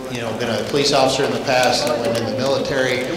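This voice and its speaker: A man speaks at a very fast pace in a flat monotone, with audible room echo and noticeable background noise. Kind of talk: public talk to students. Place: hall. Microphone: handheld.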